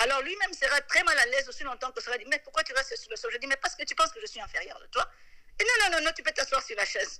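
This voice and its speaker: A raised, projected voice with a bright, sharp tone rushes along at a very fast pace. It shows very wide pitch swings and big swings in loudness. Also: woman, extremely high pitch for a woman. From DR Congo. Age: 40s. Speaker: human rights activist. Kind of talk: interview.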